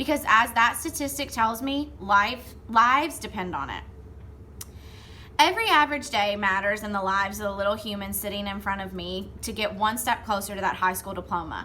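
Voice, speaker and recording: In a Southern US accent, a woman with a medium pitch speaks at a moderate pace with lively intonation and big swings in loudness, against noticeable background noise and audible room echo. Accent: Southern twang. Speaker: third grade reading teacher. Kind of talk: award acceptance speech. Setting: recorded video from classroom. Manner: formal.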